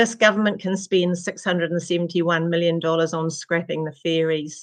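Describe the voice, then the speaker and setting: A woman with a New Zealand accent, in monotone, flat intonation, with a dry, close sound and no echo. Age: 70s. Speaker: retired nurse and midwife, community advocate. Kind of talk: public submission read from prepared text.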